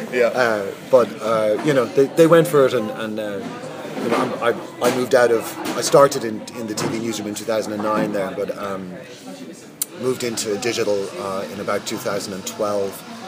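With music in the background, the speaker has an Irish accent. The pace is moderate, with ordinary pitch variation. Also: man, medium pitch for a man. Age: 40s. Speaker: media executive. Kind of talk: interview. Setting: hotel lobby with background noise. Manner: hesitant, many fillers.

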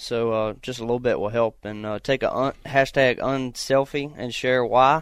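A man with a Virginia accent speaks at medium pitch and a moderate pace, in a relaxed tone. His intonation is monotone and flat, and the background is quiet. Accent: Southern US (Virginia). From US South, Virginia. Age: 20s. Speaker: race car driver and hunter. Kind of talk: casual interview chat on an outdoors radio show. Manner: relaxed, with frequent filler words (uh, um, you know).

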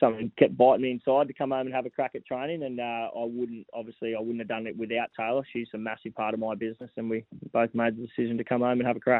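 Speaking very fast with a monotone, flat intonation, a man has an Australian accent. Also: medium pitch for a man. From Gold Coast, Queensland, Australia. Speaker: racehorse trainer. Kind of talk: radio interview. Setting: phone call.

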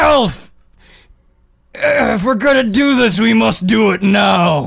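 This is a put-on character voice, raspy and strained. It is fairly high in pitch and goes at a very slow pace. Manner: through gritted teeth, strained.

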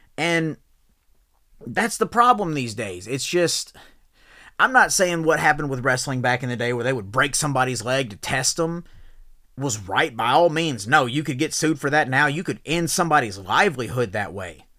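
A man speaks with a bright, sharp, animated tone and lively intonation. The recording is very clean, with a silent background. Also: medium pitch for a man, moderate pace. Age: 30s. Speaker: podcast host and professional wrestler. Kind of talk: rant.

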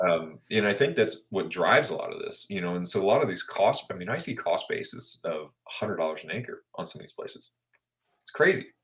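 A man with a Midwestern US accent talks at a fairly quick pace. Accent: US Midwest. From Kansas and western Missouri. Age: 40s. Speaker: land broker. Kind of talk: interview.

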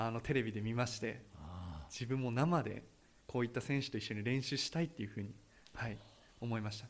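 Though he leaves long, frequent pauses, a man at a medium pitch talks at a very fast pace with fairly even intonation. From Hokkaido. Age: 20s. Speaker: city employee and runner. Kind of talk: radio interview. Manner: hesitant fillers.

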